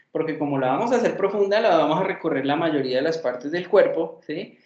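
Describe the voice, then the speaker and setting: A man speaks at a fairly quick pace. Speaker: psychology lecturer. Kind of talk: lecture. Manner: fast.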